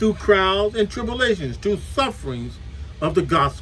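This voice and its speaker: There is light background noise. A man speaks at a fairly quick pace. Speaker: preacher. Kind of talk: sermon. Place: home room. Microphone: webcam.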